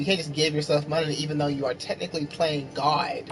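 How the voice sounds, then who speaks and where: With noticeable noise in the background, the talking runs at a fairly quick pace. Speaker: game streamer. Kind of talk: casual chat.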